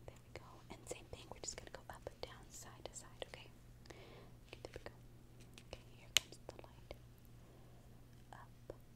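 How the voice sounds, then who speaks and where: At a moderate pace, a woman speaks with long, frequent pauses. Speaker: ASMR creator. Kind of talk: ASMR doctor role-play.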